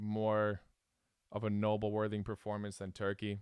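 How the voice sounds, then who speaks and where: On a very clean recording with a silent background and a dry, close sound with no echo, a man talks at a moderate pace with a fairly low pitch. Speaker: football fan streamer. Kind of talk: live reaction stream.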